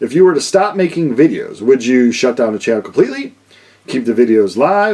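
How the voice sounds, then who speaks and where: A man is mumbling. His pitch swings very widely. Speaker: vinyl record YouTuber. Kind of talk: casual vlog Q&A. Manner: loud.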